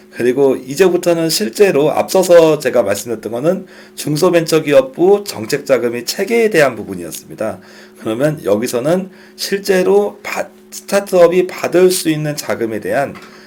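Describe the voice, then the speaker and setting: A man with a fairly high pitch makes very wide pitch swings amid noticeable background noise. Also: moderate pace. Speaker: startup funding instructor. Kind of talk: lecture.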